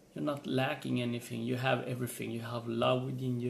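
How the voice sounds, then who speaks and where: A man's medium-pitched voice with a non-native accent and monotone, flat intonation. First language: not English. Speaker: motivational vlogger. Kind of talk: motivational vlog monologue. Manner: halting, repeats words.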